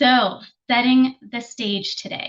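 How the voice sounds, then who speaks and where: The speaker is a woman. Her accent is American. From New Jersey, US. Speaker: program evaluation consultant and trainer. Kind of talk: webinar presentation. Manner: fast.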